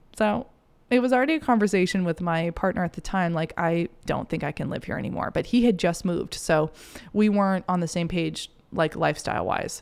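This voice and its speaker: A woman with an American accent, fairly low-pitched, lively intonation, and a fairly quick pace. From US Northeast, Maine. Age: 20s. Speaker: podcast host, self-mastery mentor. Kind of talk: solo monologue, personal story. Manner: animated.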